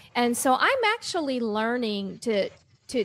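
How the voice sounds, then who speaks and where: Against noticeable background noise, a woman with an American accent speaks fairly slowly at a fairly high pitch. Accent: Oklahoma accent, grows stronger as she talks. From Oklahoma. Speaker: talk show guest. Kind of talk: casual chat.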